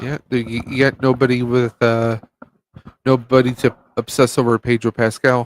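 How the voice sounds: With a dry, close sound and no echo, a man talks at a moderate pace, his medium pitch showing little movement.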